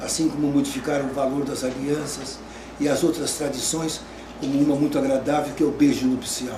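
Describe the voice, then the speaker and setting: A man speaks at a moderate pace. Noticeable background noise can be heard behind him. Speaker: wedding celebrant. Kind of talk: interview answer. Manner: gentle, soft-spoken.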